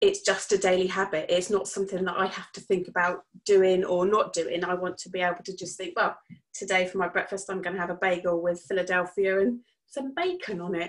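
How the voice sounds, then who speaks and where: A woman with an English accent, medium pitch, fairly quick pace and monotone, flat intonation. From southern England. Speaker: coaching client. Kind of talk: casual chat.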